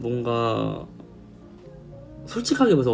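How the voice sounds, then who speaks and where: A man is speaking with music in the background. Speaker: K-pop idol singer. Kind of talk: casual storytelling to camera.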